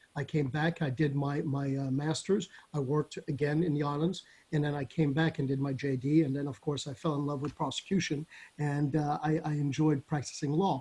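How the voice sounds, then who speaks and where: A fairly high-pitched male voice, dark and mellow in tone, somewhat breathy, monotone and flat, at a fairly quick pace. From Caribbean, Saint Barthélemy. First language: French. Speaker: judge. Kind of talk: interview.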